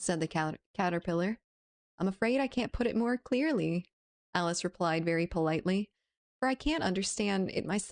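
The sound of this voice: An unforced reading voice with lively intonation against a quiet background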